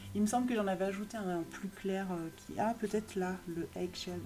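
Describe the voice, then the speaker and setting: Over noticeable background noise, a woman with a medium pitch speaks at a fairly quick pace in an animated tone. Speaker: YouTuber reviewing art supplies. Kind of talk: product haul video. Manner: fast; animated, lots of hesitation fillers.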